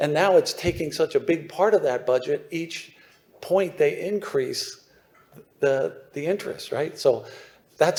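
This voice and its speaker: At a moderate pace, a man talks. He has a Philadelphia accent. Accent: Philadelphia American. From US, suburban Philadelphia. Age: 60s. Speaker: newsletter writer on mining investment. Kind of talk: conference presentation. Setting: stage with audience. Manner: animated.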